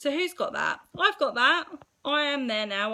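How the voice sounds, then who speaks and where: Speaking in a strong Essex accent at a moderate pace, a woman sounds bright and sharp in tone, with lively intonation on a very clean recording over a silent background. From England, Essex. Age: 30s. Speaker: mindset coach. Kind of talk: live stream talk to viewers. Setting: live video stream. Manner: casual, chatty.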